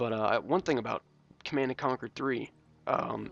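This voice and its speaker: A man speaks quietly with fairly even intonation. The sound is dry and close, with no echo. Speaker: gaming YouTuber. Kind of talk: gameplay commentary. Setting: home recording at night. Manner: quiet, held-down voice; hesitant, many ums and uhs.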